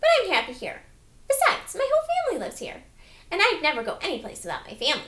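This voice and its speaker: A woman's put-on character voice at an extremely high pitch, very fast, with very wide pitch swings. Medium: read story.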